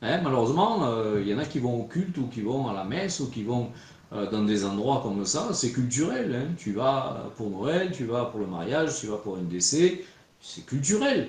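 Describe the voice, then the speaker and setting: Speaking at a moderate pace in a regional French accent, a man with a medium-pitched voice swings very widely in pitch, with audible room echo around him. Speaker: preacher. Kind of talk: sermon. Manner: conversational, frequent filler 'hein'.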